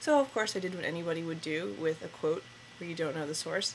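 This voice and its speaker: Against noticeable background noise, a woman with an American accent talks at a fairly quick pace in a fairly low pitch with ordinary pitch variation. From northern New Jersey. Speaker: interviewee. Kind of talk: personal account. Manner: halting, with fillers.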